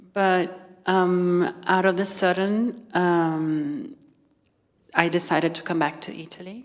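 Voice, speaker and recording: A woman speaks very slowly with a Portuguese accent at a fairly low pitch. Her pitch varies ordinarily while her loudness swings widely. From Brazil. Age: 30s. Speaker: fashion stylist. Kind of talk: public talk. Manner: halting.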